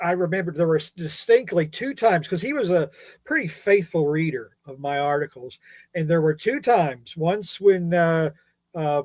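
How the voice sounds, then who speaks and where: At a moderate pace, a man talks with a high pitch. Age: 60s. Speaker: comics columnist. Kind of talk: casual chat.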